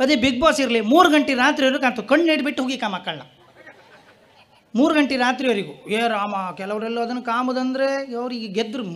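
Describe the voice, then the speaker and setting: This man has an extremely high-pitched voice and a coastal Karnataka accent. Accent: Kundapura Kannada dialect. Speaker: comedian. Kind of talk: stand-up comedy routine on stage.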